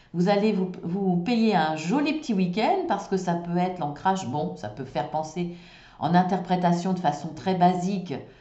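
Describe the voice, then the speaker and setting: Audible room echo and noticeable background noise surround a woman with a fairly low pitch speaking at a moderate pace with lively intonation. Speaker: tarot card reader. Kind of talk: tarot reading. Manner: hesitant.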